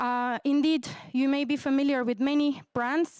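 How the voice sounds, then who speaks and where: With a Turkish accent, a woman talks at a fairly slow pace in a high voice, recorded very cleanly with a silent background and a dry, close sound with no echo. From Turkey. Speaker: researcher. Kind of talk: conference presentation. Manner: hesitant, many fillers.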